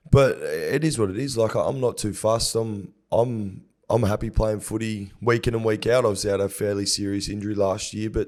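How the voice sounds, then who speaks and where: Speaking at a moderate pace in an Australian accent, a man with a fairly low pitch keeps a fairly even intonation on a very clean recording with a silent background. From Gold Coast, Queensland, Australia. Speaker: professional rugby league player. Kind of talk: casual chat.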